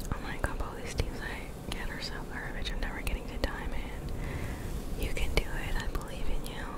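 The words are whispered at a moderate pace. Behind them, background noise is noticeable. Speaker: ASMR streamer. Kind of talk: ASMR livestream whispered rambles.

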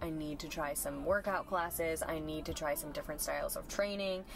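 A woman speaks at a moderate pace with clear music in the background and a dry sound with no echo. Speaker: fitness content creator. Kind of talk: casual vlog chat. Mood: reflective, candid. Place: car. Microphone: camera far.

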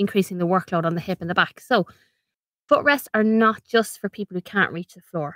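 On a very clean recording with a silent background, a woman with an Irish accent speaks at a medium pitch and a fairly quick pace. Her intonation is fairly even, and the sound is dry and close with no echo. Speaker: ergonomics consultant and podcast host. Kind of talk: informative podcast monologue. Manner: conversational, practical, friendly.

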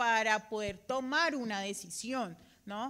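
With a bright, sharp tone, a woman speaks at a fairly slow pace. Her pitch varies in an ordinary way. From Colombia. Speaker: veterinarian audience member; audience member. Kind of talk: audience question. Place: hall.

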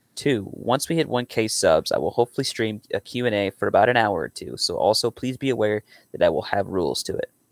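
Against a quiet background, a man rushes along at a very fast pace with hardly any pauses, his voice dry with no echo. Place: home room.

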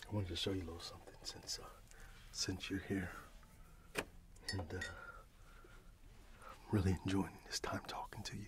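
Over loud background noise, a soft-spoken man talks at a fairly quick pace. His tone is gentle. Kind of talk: role-play conversation to camera. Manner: soft, gentle ASMR roleplay voice. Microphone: webcam.

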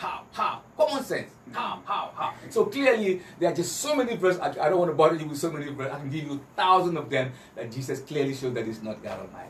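A man talks at a very fast pace with a high pitch, very wide pitch swings and big swings in loudness, with audible room echo and light background noise. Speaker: Islamic preacher giving a lecture. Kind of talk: religious lecture with Bible quotations, comparing Christianity and Islam. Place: home room.

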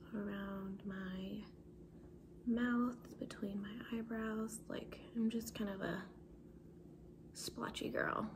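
Soft-spoken and relaxed in tone, a woman speaks at a very slow pace with long, frequent pauses and monotone, flat intonation over noticeable background noise. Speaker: ASMR content creator. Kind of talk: casual soft-spoken talk to camera. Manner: soft-spoken, relaxed. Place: kitchen. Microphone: phone near.

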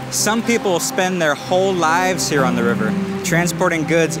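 Music plays in the background as a man speaks at a moderate pace, the sound dry with no echo. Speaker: travel host. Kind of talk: travel presenter piece to camera. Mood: upbeat, friendly. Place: waterside.

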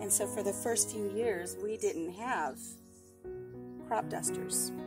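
A woman speaks at a fairly slow pace with music playing in the background. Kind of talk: casual vlog chat. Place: farm machine. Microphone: camera far.

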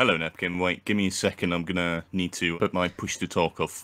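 A man with a very deep, low pitch, a bright, sharp tone, monotone, flat intonation, and a fairly quick pace. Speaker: game contestant. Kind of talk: casual chat over voice call. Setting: voice chat.

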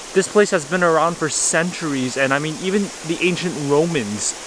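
A man keeps a moderate pace and ordinary pitch variation while noticeable noise fills the background. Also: dry sound with no echo. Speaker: travel vlogger. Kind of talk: casual vlog chat. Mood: awed, enthusiastic. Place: waterside. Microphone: phone near.

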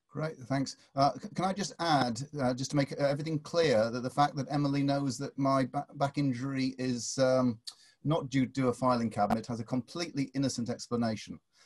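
Someone with a northern English accent speaks at a fairly quick pace. The intonation stays fairly even, and the background is quiet. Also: man, fairly high pitch for a man. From England. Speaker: professor. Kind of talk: webinar introduction and Q&A. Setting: video call. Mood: relaxed, lightly humorous. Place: home room. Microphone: video call.

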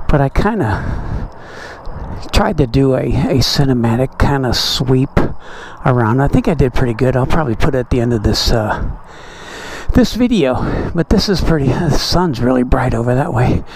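The speech moves at a moderate pace, with light background noise and a dry sound with no echo. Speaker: motorcycle vlogger. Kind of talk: casual vlog chat. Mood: relaxed, mildly annoyed by mosquitoes. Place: motorbike.

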